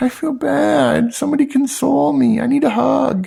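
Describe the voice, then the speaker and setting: Putting on a whiny character voice, a man speaks at a moderate pace with a high pitch. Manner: complaining, needy.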